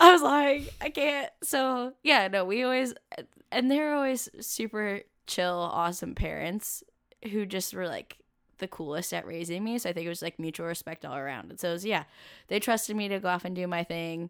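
A woman with a West Coast US accent, medium pitch and very wide pitch swings, at a moderate pace with big swings in loudness, on a very clean recording with a silent background. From US Pacific Northwest, Camas, Washington. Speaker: graphic designer and traveler. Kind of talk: casual interview chat.

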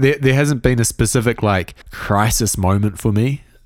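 A man with a New Zealand accent at a moderate pace, in a very clean recording with a silent background. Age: 20s. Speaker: music production podcaster. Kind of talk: interview conversation.

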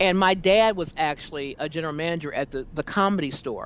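Delivered at a fairly quick pace, an ordinary speaking voice shows ordinary pitch variation. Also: woman. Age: 50s. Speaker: talk show host and jazz singer. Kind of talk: casual chat.

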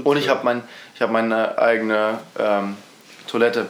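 Audible room echo and noticeable background noise fill this recording. A man speaks at medium pitch in a monotone, flat intonation. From Mecklenburg-Vorpommern, eastern Germany. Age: young. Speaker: podcast co-host, school student. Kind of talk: casual chat.

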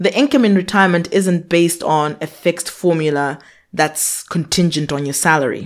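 A woman speaks in a normal speaking voice with a fairly low pitch and ordinary pitch variation. The recording is very clean, with a silent background. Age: 30s. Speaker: personal finance podcast host. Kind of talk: scripted monologue answering a listener question.

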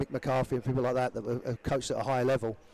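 In an English accent, a man with a dark, mellow tone and medium pitch speaks very fast with monotone, flat intonation. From England. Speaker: former pro footballer turned youth soccer coach. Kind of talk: casual interview chat.

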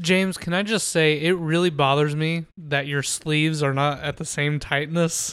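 An ordinary speaking voice moves at a moderate pace with hardly any pauses and fairly even intonation in a very clean recording with a silent background. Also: man, fairly high pitch for a man. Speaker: podcast host. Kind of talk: casual chat.

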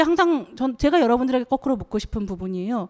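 Fairly quick, lively delivery in a dark, mellow tone, recorded very cleanly against a silent background with a dry, close sound and no echo. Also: woman. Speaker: journalist. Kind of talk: panel discussion. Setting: stage with audience.

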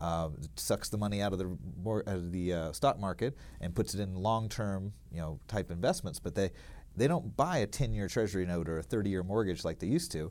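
Here a man with an American accent has a very deep, low pitch. He speaks at a fairly quick pace with lively intonation. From US South, small-town Alabama. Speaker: mortgage loan originator. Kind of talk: radio interview.

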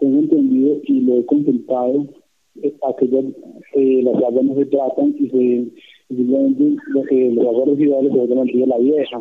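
Speaking at a fairly slow pace, a man keeps his loudness very even. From Colombia, Quindío (Montenegro). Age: 20s. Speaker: citizen caller. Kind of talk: call-in question to an official. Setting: phone call. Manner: halting.

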